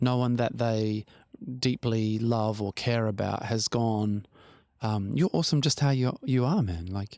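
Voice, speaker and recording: At a fairly slow pace, a man speaks in a dark, mellow tone at medium pitch, with a dry, close sound and no echo. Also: ordinary pitch variation. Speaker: podcast co-host. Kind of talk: casual conversation.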